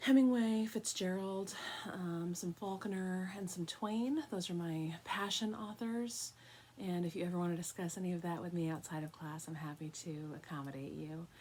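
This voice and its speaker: In an American accent, a woman speaks at a moderate pace and a fairly low pitch, with ordinary pitch variation. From New York, Long Island. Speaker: college professor. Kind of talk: lecture.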